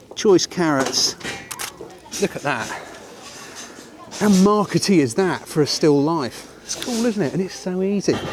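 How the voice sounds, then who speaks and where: Lively intonation marks a man's high-pitched voice. Noticeable background noise runs underneath. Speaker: photography teacher. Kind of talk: tutorial. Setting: outdoors. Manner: animated.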